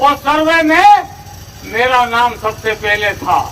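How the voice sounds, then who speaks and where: A man talks in a raised, projected voice with lively intonation against noticeable background noise. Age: 70s. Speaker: politician. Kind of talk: political rally speech.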